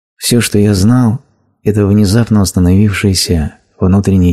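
A man speaks in a very deep, low voice at a fairly slow pace. His tone is dark and mellow. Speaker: voice-over narrator of a translated spiritual talk. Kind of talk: reading aloud a translated spiritual lecture.

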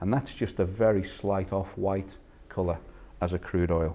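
A man with a Liverpool accent, very deep and low in pitch, at a moderate pace. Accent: Liverpool (Scouse). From northern England, Liverpool. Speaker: food industry innovation manager. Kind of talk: lecture. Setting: stage with audience. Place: meeting room.

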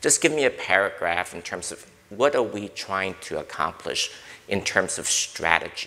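A man with an American accent speaks at a moderate pace, his loudness swinging widely. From US Northeast (Brooklyn, New York). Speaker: corporate board director and risk consultant. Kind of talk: panel discussion. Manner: direct. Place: hall. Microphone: lapel.

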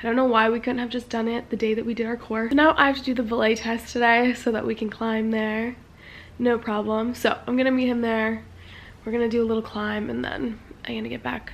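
Her intonation monotone and flat, a woman speaks at a fairly quick pace. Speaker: vlogger. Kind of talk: casual vlog chat. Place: home room. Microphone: phone near.

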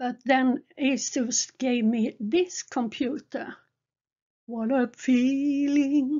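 A woman speaks with a Swedish accent, her pitch high. She talks at a very slow pace with fairly even intonation. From Sweden. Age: 70s. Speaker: gaming streamer. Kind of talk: narrated photo slideshow. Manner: halting.

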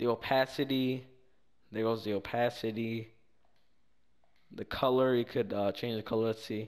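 Pausing long and often, a man speaks at a moderate pace and medium pitch in a monotone, flat intonation. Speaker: gaming YouTuber. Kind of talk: casual screen-recorded tutorial narration. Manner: casual, slangy, hesitant with fillers.

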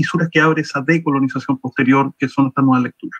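A man speaks with a Chilean accent and fairly even intonation. The background is quiet. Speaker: academic presenter. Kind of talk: conference presentation. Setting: video call. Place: home room. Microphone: video call.

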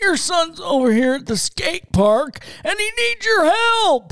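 A woman puts on a strained character voice at an extremely high pitch, with big pitch swings, vocal fry and a fairly bright tone. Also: fairly slow pace.

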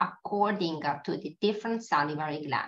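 With an Italian accent, a woman talks at a moderate pace using lively intonation. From Italy. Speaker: pathologist. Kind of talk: lecture. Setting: webinar. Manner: halting.

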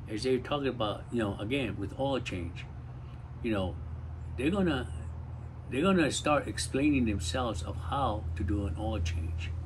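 There is light background noise behind a man with a fairly low, somewhat breathy voice. His pitch swings very widely. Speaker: community talk host. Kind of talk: casual talk, advice. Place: garden. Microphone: phone near.

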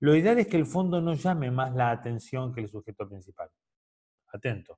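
A man speaks with lively intonation and a somewhat breathy voice. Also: quiet background. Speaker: photography teacher. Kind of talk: lecture. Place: home room. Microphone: webcam.

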